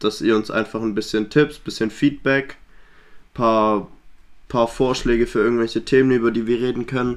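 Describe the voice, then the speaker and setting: This man's medium-pitched voice stays monotone with flat intonation, moving at a moderate pace. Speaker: podcast co-host. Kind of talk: casual chat.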